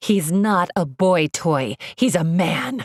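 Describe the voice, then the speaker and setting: The speaker uses a put-on character voice. The pace is very slow. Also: female-sounding voice, fairly low pitch for a woman. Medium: read story. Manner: shrill, explosive.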